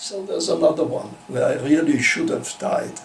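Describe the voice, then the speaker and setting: A man speaks fairly slowly while noticeable background noise and audible room echo surround him. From Austria (Vienna). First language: German. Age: 90s. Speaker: Holocaust-era refugee interviewee. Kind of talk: oral history interview. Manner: halting, with false starts.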